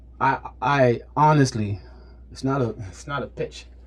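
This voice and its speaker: A man speaks in a somewhat breathy voice. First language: not English. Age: 30s. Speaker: fitness trainer. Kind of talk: casual chat. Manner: halting, repeats words.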